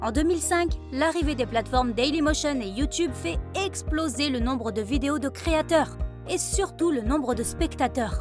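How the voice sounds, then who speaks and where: Music plays behind a woman's voice. She speaks at a fairly slow pace. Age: 20s. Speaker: voice actor. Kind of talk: e-learning narration. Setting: studio.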